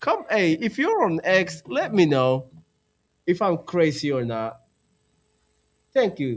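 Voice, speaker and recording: In an animated tone, a man with a high pitch talks at a moderate pace, making very wide pitch swings. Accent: non-native. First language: not English. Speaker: political podcast host. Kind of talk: live stream commentary.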